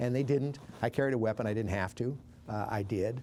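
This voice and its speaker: Here a man speaks in a Montana accent with a dark, mellow tone. His pace is fairly quick and his intonation fairly even. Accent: Northern US (Montana). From Billings, Montana. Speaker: war veteran, former army medic. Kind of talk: interview answer.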